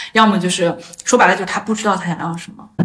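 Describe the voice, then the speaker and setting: Noticeable background noise sits behind a woman speaking at a fairly quick pace. Her pitch variation is ordinary. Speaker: astrologer, former user research expert. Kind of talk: casual interview chat. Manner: hesitant, many filler sounds.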